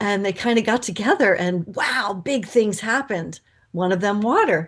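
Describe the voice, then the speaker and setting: Her pitch sits at a medium level for a woman, with ordinary variation and a moderate pace. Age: 60s. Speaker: spiritual teacher. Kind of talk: podcast conversation. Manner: halting.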